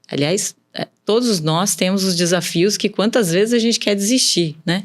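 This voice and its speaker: A woman speaks at a fairly slow pace with a São Paulo countryside accent. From interior of São Paulo state, Brazil. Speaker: businesswoman. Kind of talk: podcast interview.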